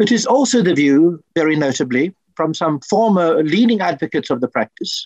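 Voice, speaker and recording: The man's voice sits high in pitch, recorded with a dry, close sound and no echo. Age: 70s. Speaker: party conference speaker, activist. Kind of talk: conference speech. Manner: formal.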